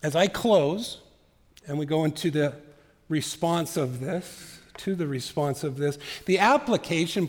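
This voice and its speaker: Fairly high in pitch with ordinary pitch variation, a man talks at a fairly slow pace in a plain, everyday voice. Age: 50s. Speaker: pastor. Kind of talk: sermon.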